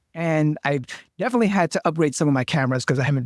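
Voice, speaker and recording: A man speaks at a very fast pace. The sound is dry and close with no echo, on a very clean recording with a silent background. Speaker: digital marketer. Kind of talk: interview.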